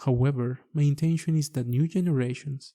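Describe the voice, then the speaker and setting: Somewhat breathy and dark, mellow in tone, a man with a Mexican accent and fairly high pitch talks at a moderate pace in a dry, close sound with no echo. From Mexico. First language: Spanish. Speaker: architect and podcast host. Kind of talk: podcast monologue.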